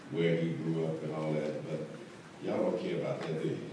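In a room with strong echo, a man speaks at a low pitch.

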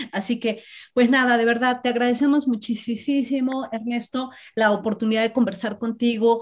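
A normal speaking voice at a fairly quick pace, against a quiet background. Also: woman. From Mexico. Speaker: university professor, seminar organizer; university professor. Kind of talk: casual chat; interview questions and discussion. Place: home room. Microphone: video call.

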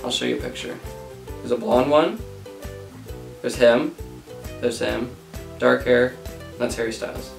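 Over clear music in the background and audible room echo, a man talks at a moderate pace with long, frequent pauses. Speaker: vlogger interviewing his grandmother. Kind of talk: casual interview questions. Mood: playful, laughing. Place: home room.

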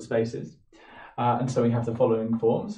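A man talks at a moderate pace, and audible room echo can be heard. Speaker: physics lecturer. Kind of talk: lecture. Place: home room. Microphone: camera far.

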